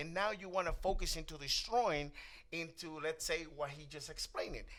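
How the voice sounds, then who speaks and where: A man's high-pitched voice in a Spanish accent, bright and sharp in tone, with fairly even intonation. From Spanish-speaking country, immigrant to US. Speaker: talk show host. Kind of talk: panel discussion.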